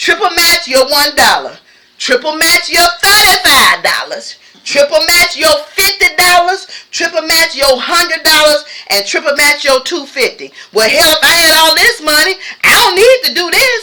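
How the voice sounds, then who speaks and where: Through noticeable background noise, a woman uses a raised, projected voice at an extremely high pitch, with an animated tone and a moderate pace. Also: lively intonation. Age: 60s. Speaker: YouTuber. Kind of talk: casual chat.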